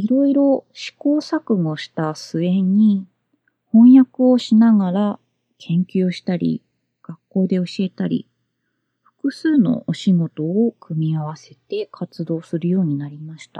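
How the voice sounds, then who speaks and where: A dark, mellow, somewhat breathy voice speaks at a very slow pace in a calm tone, with very wide pitch swings, big swings in loudness and a dry, close sound with no echo. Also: woman, medium pitch for a woman. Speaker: podcast host and freelance translator. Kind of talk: solo podcast talk. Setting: home closet.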